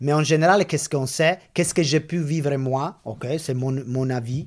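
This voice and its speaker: A man speaks with an Italian accent at medium pitch. His pace is fairly slow. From Italy. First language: Italian (speaking French). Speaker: veterinary orthopedic surgeon. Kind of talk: interview. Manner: halting.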